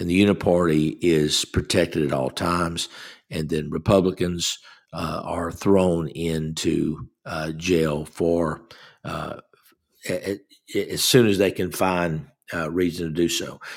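With a Southern US accent, a man speaks in a very deep, low pitch and fairly even intonation on a very clean recording with a silent background. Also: fairly slow pace. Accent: US South. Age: 60s. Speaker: guest radio host. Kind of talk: political talk show monologue. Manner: halting, many fillers.

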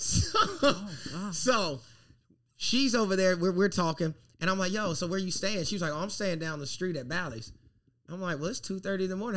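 A man talks at a very fast pace. His pitch is high and his intonation lively. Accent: American. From US South, South Carolina. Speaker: podcast host, comedian. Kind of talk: casual chat.

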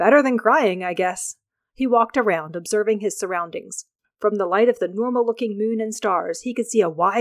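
The reading aloud in a natural voice shows ordinary pitch variation, with a quiet background behind it.

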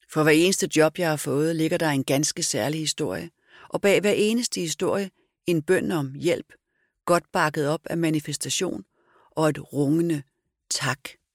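In a dry, close sound with no echo, a woman with a very deep, low pitch talks at a fairly slow pace with ordinary pitch variation. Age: 50s. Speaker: author and public speaker. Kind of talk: interview conversation.

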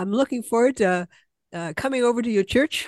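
A woman with an unremarkable speaking voice has a fairly high pitch and lively intonation. The background is quiet. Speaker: community podcast host. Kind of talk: casual interview.

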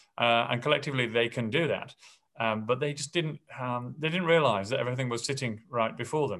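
Over a quiet background, a man talks at a fairly quick pace with a medium pitch, ordinary pitch variation and a slight English accent. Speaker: school principal.

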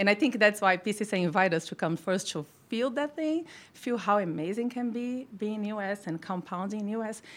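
A woman's fairly high voice with a Brazilian accent, lively intonation and a moderate pace. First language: Portuguese. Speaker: formulation pharmacist. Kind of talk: casual interview.

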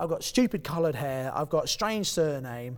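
A man with a southern English accent talks at a fairly quick pace, his fairly high pitch carried by lively intonation. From southeast England (Kent). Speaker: property investor and coach. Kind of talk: interview. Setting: event venue.

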